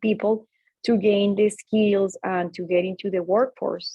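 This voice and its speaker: A woman with a Latin American accent talks at a moderate pace, her pitch sitting in the middle range. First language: Spanish. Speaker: tech executive and speaker. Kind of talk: talk to students. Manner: hesitant, many fillers.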